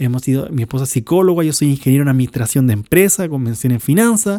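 With a dark, mellow tone and fairly high pitch, a man speaks at a fairly quick pace with lively intonation. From Chile. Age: 20s. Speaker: pastor. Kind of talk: podcast sermon. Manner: more energetic than last episode.

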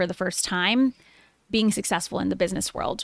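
A woman's medium-pitched voice in a very clean recording with a silent background, dry and close with no echo. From Chicago. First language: Spanish. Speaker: entrepreneur and podcaster. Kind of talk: casual interview.

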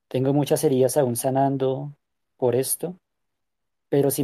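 On a very clean recording with a silent background, a man with a dark, mellow tone and medium pitch speaks at a fairly slow pace. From Colombia. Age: 20s. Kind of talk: testimony interview.

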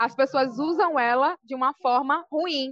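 High-pitched female voice with ordinary pitch variation. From Brazil, Salvador, Bahia. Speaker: rapper and poet. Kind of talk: interview. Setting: on a break from dance class.

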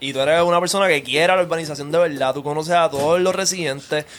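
Speaking very fast with a Puerto Rican accent, a man uses a fairly high pitch and fairly even intonation. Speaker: podcast host. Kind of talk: casual chat.

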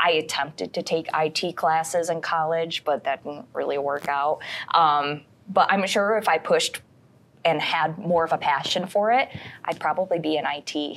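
A woman with an American accent speaks at a moderate pace with ordinary pitch variation, in an unremarkable speaking voice with a fairly low pitch. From Michigan (Canton, downstate). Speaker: TV news anchor. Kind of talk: casual chat.

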